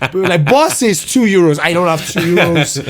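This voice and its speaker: A man's high, animated voice at a moderate pace, with audible room echo. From Ireland, Nigerian family. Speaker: comedian. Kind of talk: casual interview chat. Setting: in-person podcast interview. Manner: animated, halting with many fillers.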